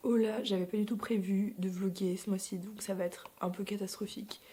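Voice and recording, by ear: In a put-on character voice, someone speaks raspily at a moderate pace with monotone, flat intonation. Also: woman, medium pitch for a woman.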